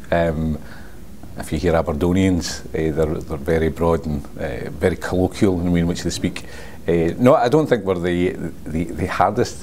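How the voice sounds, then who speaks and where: A man with a strong West Coast Scottish accent speaks at a moderate pace in a very deep, low pitch with ordinary pitch variation. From Scotland, Port Glasgow (West Coast). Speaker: sales representative for speech recognition software. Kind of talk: casual interview.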